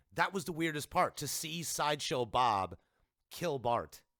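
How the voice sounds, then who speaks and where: A man speaks in an animated, bright and sharp tone with vocal fry. The recording is very clean, with a silent background. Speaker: podcast host. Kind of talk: casual chat.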